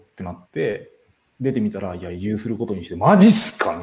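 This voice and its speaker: His dark, mellow tone is somewhat breathy, and the man's pitch swings very widely. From Tokyo. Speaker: live stream host, community organizer. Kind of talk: casual live stream talk. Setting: live stream.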